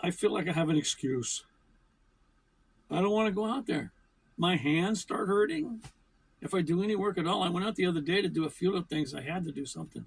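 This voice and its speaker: A man with an American accent talks at a fairly quick pace and a high pitch with ordinary pitch variation. Long pauses come often. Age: 70s. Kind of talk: casual talk to camera.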